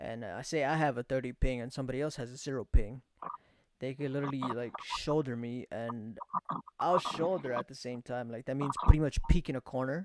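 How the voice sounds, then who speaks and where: A normal speaking voice talks at a fairly quick pace with fairly even intonation and big swings in loudness. The sound is dry and close, with no echo. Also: man, medium pitch for a man. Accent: American. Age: 20s. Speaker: podcast host and streamer. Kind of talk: casual chat.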